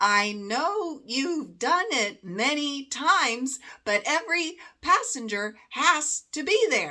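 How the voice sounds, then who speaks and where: A woman uses a put-on character voice, high-pitched and squeaky, in a raised, projected delivery. She talks very slowly with very wide pitch swings. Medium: read story. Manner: slow, measured.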